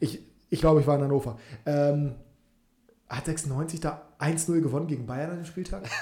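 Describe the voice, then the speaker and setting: A man talks at a moderate pace in a fairly high pitch, his tone dark and mellow and somewhat breathy. His intonation is fairly even, with long, frequent pauses. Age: 20s. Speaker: football podcast host. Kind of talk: casual chat.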